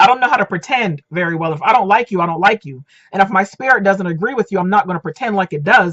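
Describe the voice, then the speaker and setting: A woman talks very fast at a medium pitch. Her intonation is lively and her tone animated. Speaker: dating and relationship coach. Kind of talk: casual vlog monologue.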